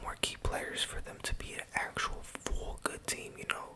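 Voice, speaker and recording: Whispering at a moderate pace, a man comes through over noticeable background noise. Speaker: college student. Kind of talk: ASMR ramble. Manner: whispered.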